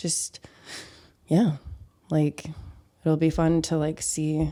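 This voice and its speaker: Very slowly and in a flat monotone, a woman with a strong Midwestern accent talks at a very deep, low pitch with a dark, mellow tone. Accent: Midwest accent, thick. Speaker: painter and curator. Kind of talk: casual chat.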